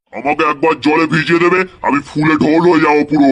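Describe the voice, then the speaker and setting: A man puts on a cartoonish character voice, pitched fairly high. He speaks at a moderate pace. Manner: proud, indignant.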